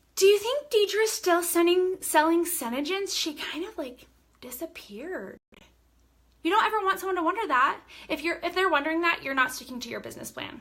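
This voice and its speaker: At a fairly quick pace, a woman with an extremely high pitch sounds animated, her intonation lively and her loudness swinging widely. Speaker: direct sales team leader. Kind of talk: live-stream training talk. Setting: live video stream. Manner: loud, animated.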